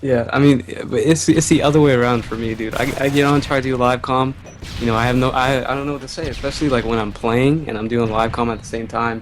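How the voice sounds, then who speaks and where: Noticeable background noise sits behind a man at medium pitch. He talks very fast with fairly even intonation. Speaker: YouTuber. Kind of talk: casual chat. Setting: voice call. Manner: stutters when live commentating.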